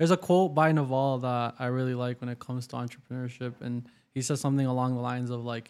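An ordinary speaking voice: a man with a Canadian accent, medium pitch, fairly even intonation and a fairly quick pace. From Waterloo, Ontario, Canada. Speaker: podcast host. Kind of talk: interview conversation.

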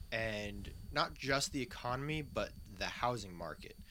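Vocal fry runs through this man's voice as his pitch swings very widely. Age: 20s. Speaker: gun enthusiast. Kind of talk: casual chat.

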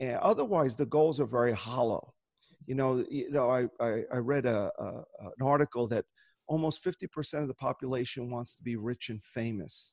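The background is quiet as a man talks in a normal speaking voice. His pitch is medium, with ordinary variation, at a moderate pace. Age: 60s. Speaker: optometrist and goal-setting workshop leader. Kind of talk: interview conversation.

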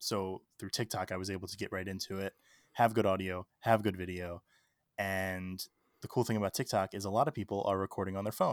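The speaker has an American accent and a flat monotone at a fairly quick pace. The recording is very clean and silent, with a dry, close sound and no echo. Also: man, fairly low pitch for a man. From Maryland, Baltimore. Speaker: TikTok creator and podcaster. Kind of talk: interview conversation.

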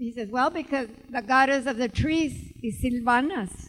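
A woman speaks at a moderate pace. Her voice is high-pitched. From Tucson, Arizona. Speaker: author. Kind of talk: live book event talk. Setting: stage with audience.

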